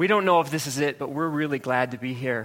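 An ordinary speaking voice from a man, fairly high-pitched for a man, with an American accent, fairly even intonation and a fairly quick pace. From Ohio. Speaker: pastor. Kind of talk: sermon. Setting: church.

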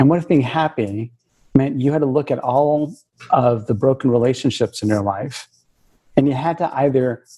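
An American-accented man speaks at medium pitch with a dark, mellow tone that is somewhat breathy. His pace is moderate and his pitch variation ordinary. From US West Coast, Bay Area of California. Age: 50s. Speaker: talent consultancy founder. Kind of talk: interview.

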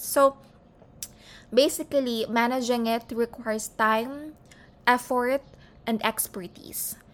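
A woman with a Filipino accent speaks at a fairly slow pace, her pitch varying in an ordinary way. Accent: Filipino English, Taglish code-switching. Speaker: podcast host. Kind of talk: informational monologue.

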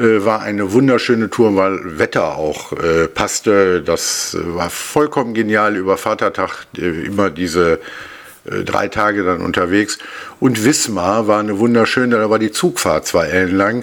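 Noticeable background noise surrounds a man speaking at a fairly slow pace. His voice sits fairly low, with ordinary pitch variation. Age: 50s. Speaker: marksmen's club king. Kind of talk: casual interview. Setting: studio, face to face.

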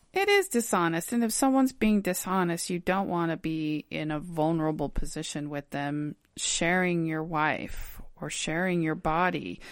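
Over a silent background in a very clean recording, a woman with an unremarkable speaking voice talks at a moderate pace, her fairly low pitch showing ordinary variation. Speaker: podcast host. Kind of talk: casual chat, informational.

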